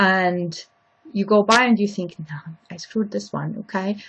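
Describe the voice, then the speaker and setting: With a German accent, a woman of medium pitch speaks at a moderate pace with fairly even intonation. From Austria. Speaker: lecturer. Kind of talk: lecture.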